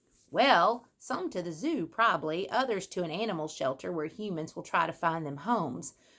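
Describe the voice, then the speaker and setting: Using a put-on character voice, a woman speaks at a fairly low pitch with hardly any pauses. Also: moderate pace. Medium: read story. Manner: casual, wry.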